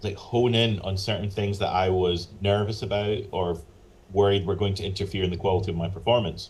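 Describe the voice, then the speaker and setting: A man with a Northern Irish accent talks at a fairly quick pace. His fairly low, somewhat breathy voice stays monotone and flat. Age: 40s. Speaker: professional flutist and flute teacher. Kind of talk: interview conversation. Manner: casual, with fillers and restarts.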